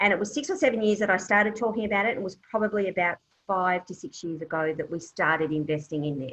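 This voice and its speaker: A woman with an Australian accent, medium-pitched, speaking very fast with ordinary pitch variation. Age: 60s. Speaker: property investment specialist. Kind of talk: Q&A at online business meeting. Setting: online video meeting.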